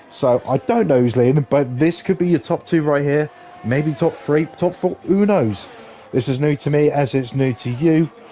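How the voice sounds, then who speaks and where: Noticeable background noise accompanies a man with a fairly high voice who talks at a moderate pace with ordinary pitch variation. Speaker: sim racing streamer and commentator. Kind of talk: live commentary. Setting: live stream. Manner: animated.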